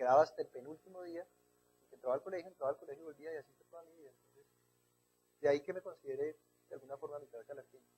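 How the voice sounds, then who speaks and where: Speaking very fast with a Bogotá accent, a man has a fairly high pitch, a dark, mellow tone and a somewhat breathy sound. His intonation is fairly even, his loudness swings widely, and he takes long, frequent pauses. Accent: Bogotá Colombian Spanish. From Colombia, Bogotá. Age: 30s. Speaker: writer. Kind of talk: TV interview.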